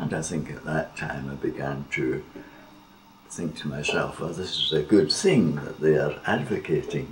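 A man at a moderate pace, noticeable background noise behind him. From Scotland. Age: 80s+. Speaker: theologian. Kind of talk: interview. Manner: reflective, occasionally laughing. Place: home room.

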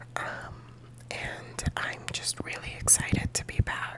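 Noticeable background noise is present. A woman whispers, very slowly. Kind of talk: ASMR whispering life update to camera. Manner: whispered, soft-spoken.

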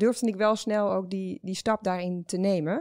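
This woman speaks at a fairly slow pace with ordinary pitch variation. The recording is very clean and the background silent. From Netherlands. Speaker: startup founder. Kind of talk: interview. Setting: studio. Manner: hesitant, many filler sounds.

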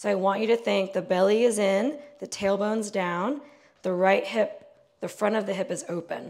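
A woman's pitch rises and falls normally, with quiet in the background. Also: moderate pace. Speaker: fitness instructor. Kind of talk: exercise class instruction. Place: home room.

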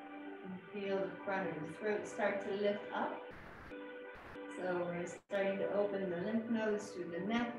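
A woman speaks at a fairly slow pace with ordinary pitch variation. Clear music plays in the background, and room echo is audible. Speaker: qigong instructor. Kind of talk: guided exercise instruction. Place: home room. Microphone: camera far.

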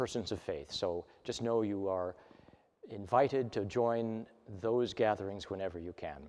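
A man's voice sits fairly low in pitch. It shows ordinary pitch variation. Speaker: minister. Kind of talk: church announcements. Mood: warm, calm, pastoral. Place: church.

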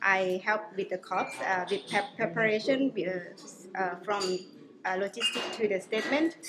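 A woman at a moderate pace over noticeable background noise. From Laos. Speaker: climate negotiator. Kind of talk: interview answer. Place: meeting room.

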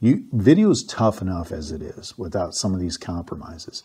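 Very deep and low, a man's somewhat breathy voice moves at a moderate pace. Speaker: photography reviewer. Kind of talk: product review talk. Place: home room. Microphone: lapel.

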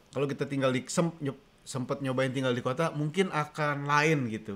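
A man speaks at a fairly quick pace. He uses hardly any pauses. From Indonesia. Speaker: co-host; livestream co-host. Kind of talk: casual live-stream chat. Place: kitchen. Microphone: studio mic.

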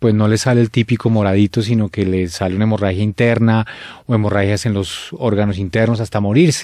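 A medium-pitched man's voice, dark and mellow, at a fairly quick pace, with a dry, close sound with no echo and a very clean recording over a silent background. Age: 40s. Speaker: musician sharing faith testimony. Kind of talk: testimony.

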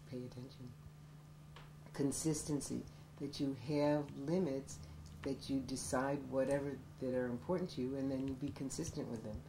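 At a moderate pace and with fairly even intonation, a voice with an American accent comes through noticeable background noise and audible room echo. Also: woman. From upstate New York, Syracuse. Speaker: college professor. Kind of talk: documentary interview.

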